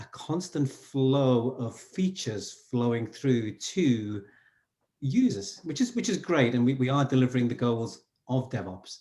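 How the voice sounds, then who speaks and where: Here a man of medium pitch has a dark, mellow tone. His intonation is lively and his pace fairly slow. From northern England, Newcastle. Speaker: SRE coach. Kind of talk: interview conversation.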